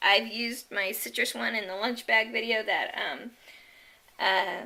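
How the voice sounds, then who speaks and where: A fairly high-pitched woman with a bright, sharp tone, speaking at a fairly slow pace. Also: very clean recording, silent background. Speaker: online shopping haul vlogger. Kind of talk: casual product haul video. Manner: halting, many ums and restarts.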